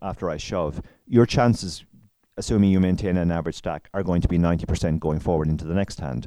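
A man's very deep, low pitch in a dark, mellow tone. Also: very clean recording, silent background. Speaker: co-host. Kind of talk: casual interview.

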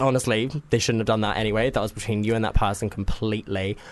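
A man talks with a southern English accent and fairly even intonation. The background is quiet. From Cambridgeshire, England. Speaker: photographer. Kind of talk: casual chat. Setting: studio.

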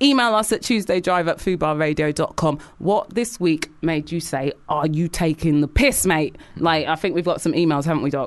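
A woman with a London accent, fairly low in pitch, at a moderate pace with lively intonation and hardly any pauses. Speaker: radio host and DJ. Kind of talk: casual radio chat. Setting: studio. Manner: animated.

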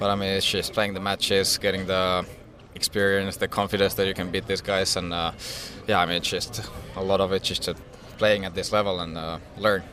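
Speaking fairly quickly in a Finnish accent, a man holds a monotone, flat intonation at a fairly low pitch. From Finland. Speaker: professional tennis player. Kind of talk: interview. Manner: halting.

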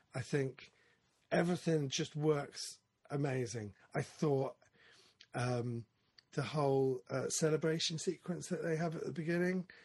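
Somewhat breathy and fairly high in pitch, a man talks at a fairly slow pace with ordinary pitch variation and long, frequent pauses. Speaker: podcast host. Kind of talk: casual chat. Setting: studio, remote video interview with guests.

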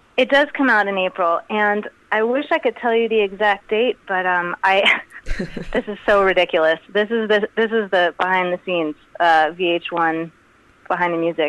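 This is a normal speaking voice with an American accent and ordinary pitch variation. The pace is moderate. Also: woman, medium pitch for a woman. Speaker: musician. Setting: phone call.

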